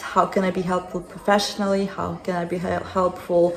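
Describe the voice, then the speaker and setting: Medium-pitched woman in a Ukrainian accent, flat monotone delivery at a moderate pace, with music in the background. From Ukraine. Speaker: interviewee, former refugee. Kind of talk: interview. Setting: friend's home.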